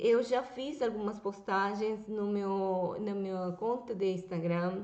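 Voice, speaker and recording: Amid noticeable background noise, a woman with a Venezuelan accent talks at a fairly slow pace. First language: Spanish (speaking Portuguese). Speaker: YouTuber. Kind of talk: political commentary vlog.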